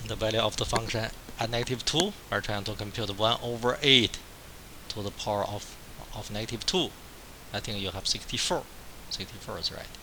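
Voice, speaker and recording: Fairly quick, medium-pitched speech from a man with ordinary pitch variation and long, frequent pauses, amid noticeable background noise and audible room echo. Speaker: math professor. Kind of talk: lecture. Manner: repetitive, halting.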